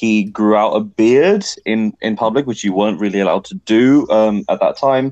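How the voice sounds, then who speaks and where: A man with an English accent speaks at a moderate pace with hardly any pauses. His medium pitch shows ordinary variation, and the sound is dry and close with no echo. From England. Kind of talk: casual chat.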